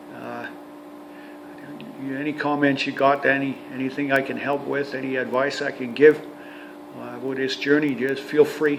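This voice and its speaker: A man with a western Canadian accent, fairly high-pitched, flat and monotone in intonation, at a moderate pace with long, frequent pauses, big swings in loudness, and noticeable background noise. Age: 60s. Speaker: retired heavy-duty mechanic and RV vlogger. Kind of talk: casual vlog monologue. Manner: halting, many fillers and repetitions.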